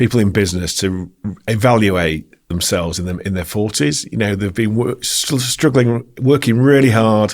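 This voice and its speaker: This man speaks in a Yorkshire accent with a fairly low pitch. His intonation is lively and his pace moderate. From Yorkshire, Bradford. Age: 40s. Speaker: company founder and CEO. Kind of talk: podcast interview.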